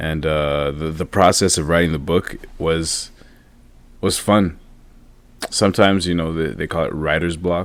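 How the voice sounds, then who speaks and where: In a Quebec accent, a man with a very deep, low voice talks at a moderate pace with fairly even intonation and long, frequent pauses. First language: French. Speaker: motivational speaker and author. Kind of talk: podcast interview. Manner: halting, many repeats and fillers.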